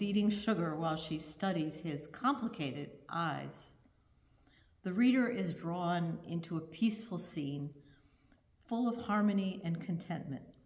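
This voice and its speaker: Somewhat breathy, a woman with a medium pitch speaks at a moderate pace with lively intonation, and audible room echo surrounds her voice. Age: 70s. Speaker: congregation member giving a reflection. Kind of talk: prepared reflection read aloud in a service. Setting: virtual church service from home.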